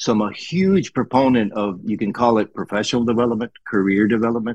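Over a quiet background, an unremarkable speaking voice goes along at a fairly quick pace, its pitch varying in an ordinary way. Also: man. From Colombia, raised in US (South Florida). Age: 60s. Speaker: retired engineer and instructor. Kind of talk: interview.

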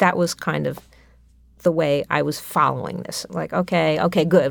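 A woman with a New York accent at a moderate pace. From New York City (Manhattan). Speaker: composer. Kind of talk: interview.

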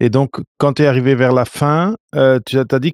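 A man with a medium pitch speaks at a moderate pace with fairly even intonation. The recording is very clean, with a silent background and a dry, close sound with no echo. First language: Portuguese (speaking French). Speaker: podcast host. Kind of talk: interview. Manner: halting.

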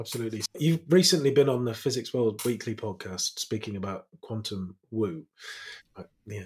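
His voice sits at a medium pitch and sounds somewhat breathy, with lively intonation. The man keeps a moderate pace while his loudness swings widely. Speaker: podcast host. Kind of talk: interview.

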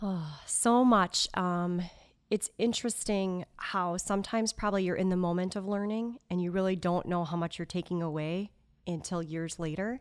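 The speaker has an ordinary speaking voice and an American accent. Intonation is fairly even and the pace moderate. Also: woman, medium pitch for a woman. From Wisconsin, outside Madison. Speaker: music store executive. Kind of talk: casual interview.

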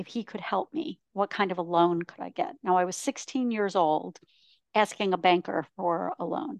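A woman with an unremarkable speaking voice talks at medium pitch and a moderate pace, with ordinary pitch variation. The sound is dry and close, with no echo and a quiet background. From Ontario, Canada. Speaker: professional speaker and author. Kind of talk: interview.

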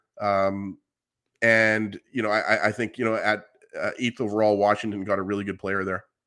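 At a moderate pace, a man with a fairly low pitch speaks with monotone, flat intonation. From Canada. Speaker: hockey podcast co-host. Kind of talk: live sports show chat.

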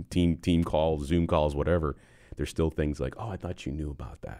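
In an American accent, a man speaks with a very deep, low pitch, vocal fry, a dark, mellow tone and fairly even intonation. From Western New York (Buffalo). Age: 50s. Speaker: construction company executive. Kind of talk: casual interview.

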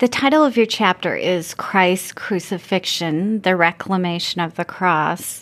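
With an ordinary speaking voice, a woman talks at a fairly slow pace in a medium pitch with ordinary pitch variation, captured in a very clean recording with a silent background. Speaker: podcast host. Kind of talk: interview.

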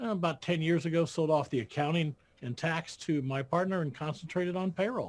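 A man with a plain, everyday voice, fairly high in pitch, ordinary pitch variation and a fairly quick pace, on a very clean recording with a silent background. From Iowa, US Midwest. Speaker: accountant and payroll business founder. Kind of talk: interview.

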